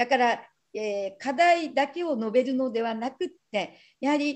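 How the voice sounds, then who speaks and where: A high-pitched woman's voice at a moderate pace against a quiet background. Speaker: rural tourism practitioner, session coordinator; breakout session reporter. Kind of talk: conference session report. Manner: modest, self-deprecating. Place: hall. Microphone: video call.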